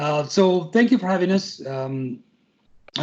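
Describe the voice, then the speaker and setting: A man speaks with a Spanish accent. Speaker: tech company representative. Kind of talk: presentation. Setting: video call. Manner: halting, many repetitions and fillers.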